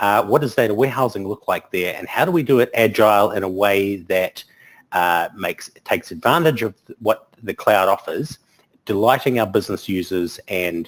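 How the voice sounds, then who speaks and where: Speaking with a New Zealand accent, a man uses a fairly low pitch and ordinary pitch variation. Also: moderate pace. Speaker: technology conference speaker. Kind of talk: webinar presentation. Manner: hesitant, many filler words.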